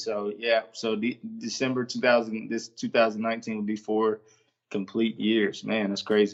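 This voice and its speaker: A man at a medium pitch and a moderate pace, in a monotone, flat intonation. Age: 20s. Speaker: former college quarterback and team chaplain. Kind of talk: casual interview. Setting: studio. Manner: hesitant, many fillers.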